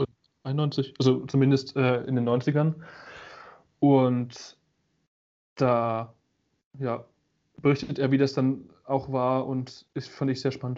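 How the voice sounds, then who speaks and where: Speaking at a very slow pace with long, frequent pauses, a man holds a medium pitch and a monotone, flat intonation. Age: 20s. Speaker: media design student and photographer. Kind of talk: casual chat.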